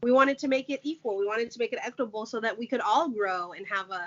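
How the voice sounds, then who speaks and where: This is a woman's voice. It sits fairly high in pitch, with ordinary pitch variation. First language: Portuguese. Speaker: podcast host. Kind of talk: casual chat.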